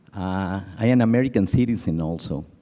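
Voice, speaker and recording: Lively intonation marks a man's dark, mellow tone in a Mexican accent. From Mexico. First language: Spanish. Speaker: conference audience member. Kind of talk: audience comment at conference. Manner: emotional, earnest.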